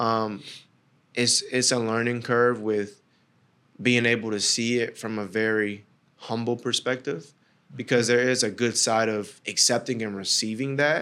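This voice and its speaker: A man's medium-pitched voice, a plain, everyday voice, fairly slow and with fairly even intonation. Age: 20s. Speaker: podcaster. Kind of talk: casual chat.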